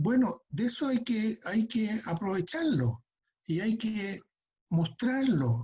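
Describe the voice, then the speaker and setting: A man speaks with a dark, mellow tone, a high pitch, and ordinary pitch variation. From Chile. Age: 60s. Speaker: retired air force general. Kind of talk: interview.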